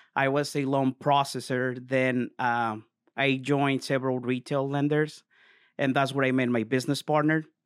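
In a very clean recording with a silent background, a man with a Spanish accent speaks at a moderate pace and medium pitch, in a flat monotone with very even loudness. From Mexico. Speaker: mortgage broker. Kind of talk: casual interview. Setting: on location.

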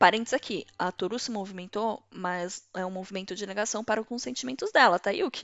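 A normal speaking voice from a woman, medium in pitch, fairly quick, with ordinary pitch variation. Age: 30s. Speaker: podcast host. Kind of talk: solo commentary podcast. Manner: casual, conversational.

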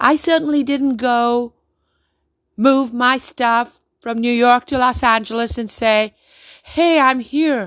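A woman's high-pitched voice at a very slow pace with fairly even intonation, dry and close with no echo, on a very clean recording with a silent background. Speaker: stand-up comedian. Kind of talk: angry rant. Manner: indignant, emphatic, sarcastic.

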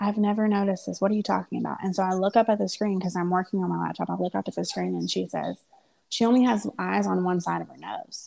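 A woman at a very fast pace, on a very clean recording with a silent background. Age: 30s. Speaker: podcast co-host, mother of three. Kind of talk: casual chat.

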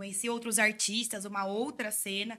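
A woman's voice, bright and sharp in tone, comes at a moderate pace. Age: 20s. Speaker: psytrance content creator. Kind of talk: casual chat.

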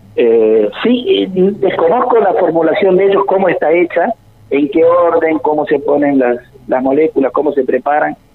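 A man speaks at a high pitch with very wide swings in pitch and very even loudness, over noticeable background noise. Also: moderate pace. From Argentina, interior of Córdoba province. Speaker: biochemist researcher. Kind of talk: radio interview. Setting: phone call.

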